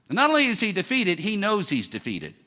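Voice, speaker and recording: An animated man with a high pitch, a bright, sharp tone and a raised, projected voice. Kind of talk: sermon. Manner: animated, call-and-response preaching that pushes the congregation to shout back.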